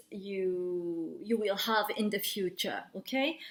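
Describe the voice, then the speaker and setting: A woman at a medium pitch, in a French accent, at a very slow pace. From France. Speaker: tarot reader and psychic medium. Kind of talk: tarot card reading monologue. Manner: halting, searching for words.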